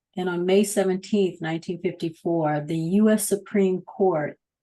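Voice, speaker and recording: Over a quiet background, a woman's dark, mellow voice sits at a medium pitch with fairly even intonation. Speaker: podcast co-host and producer; digital storyteller and coach. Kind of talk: podcast interview host.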